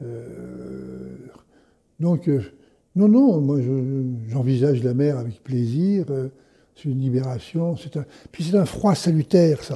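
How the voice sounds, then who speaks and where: A very slow, somewhat breathy delivery with a dark, mellow tone, ordinary pitch variation and long, frequent pauses. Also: man, medium pitch for a man. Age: 70s. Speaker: fasting retreat participant. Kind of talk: interview. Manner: halting, many repetitions.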